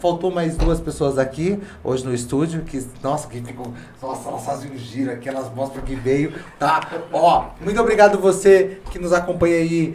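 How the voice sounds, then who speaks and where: A man speaks at a moderate pace with ordinary pitch variation, his voice carrying audible room echo and noticeable background noise. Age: 30s. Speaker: podcast host. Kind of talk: casual chat. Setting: studio.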